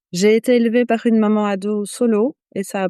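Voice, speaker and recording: A woman speaks in a dark, mellow tone. The sound is dry and close with no echo, over a quiet background. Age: 40s. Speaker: midwife. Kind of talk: podcast interview. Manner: hesitant, many fillers.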